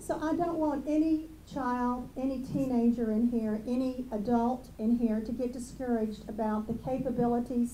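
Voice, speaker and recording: A woman speaks at a moderate pace in a high pitch with a dark, mellow tone, and the room echo is audible. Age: 60s. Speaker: school district administrator. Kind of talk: ceremony speech.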